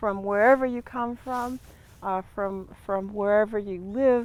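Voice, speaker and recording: A woman's fairly high voice with a Great Lakes accent, ordinary pitch variation and a fairly slow pace. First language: Ojibwe. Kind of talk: ceremonial teaching. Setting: outdoors in a garden.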